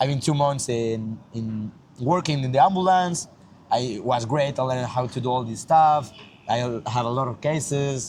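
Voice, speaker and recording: At a moderate pace, a man speaks in a medium, somewhat breathy voice with ordinary pitch variation. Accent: Mexican. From Mexico. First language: Spanish. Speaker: yeshiva student. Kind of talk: casual interview. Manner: halting.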